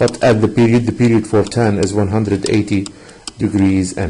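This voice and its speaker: Somewhat breathy and fairly low-pitched, a man speaks at a moderate pace with fairly even intonation. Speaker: math teacher. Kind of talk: online lesson. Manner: hesitant, many fillers.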